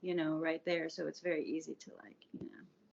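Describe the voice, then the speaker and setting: Speaking at a fairly quick pace, a woman with an American accent uses a fairly low pitch and vocal fry. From US South, Atlanta suburbs (Georgia). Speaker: podcast guest sharing recovery story. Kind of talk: casual interview, personal testimony.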